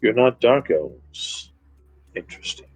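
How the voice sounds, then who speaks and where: A man does a put-on character voice at a moderate pace over background music. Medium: actual play. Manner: slow, menacing.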